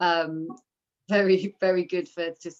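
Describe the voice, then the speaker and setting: A woman with a normal speaking voice, fairly low in pitch, with fairly even intonation. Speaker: meditation teacher. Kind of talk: interview.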